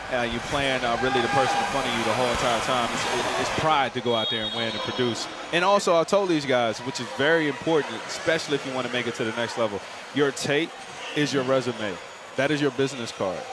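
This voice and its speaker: A man talks very fast with ordinary pitch variation, the sound dry with no echo despite noticeable background noise. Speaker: color analyst, former player. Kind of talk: live sports commentary. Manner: emphatic, coach-like. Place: booth. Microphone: headset.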